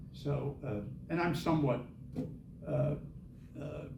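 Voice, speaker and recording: A man speaks with an American accent. There is audible room echo. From US Midwest, Indianapolis, Indiana. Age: 70s. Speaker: author and Vietnam veteran. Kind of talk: author talk Q&A.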